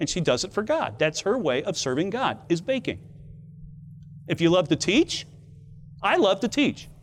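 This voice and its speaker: Music plays in the background as a man with a high pitch speaks at a moderate pace. His pitch swings very widely, and he takes long, frequent pauses. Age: 60s. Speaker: Bible teacher. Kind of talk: devotional lecture. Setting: outdoors.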